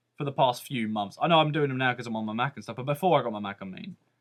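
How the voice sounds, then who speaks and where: A man talks in a British accent. His tone is animated. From Britain. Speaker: vlogger. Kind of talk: rant.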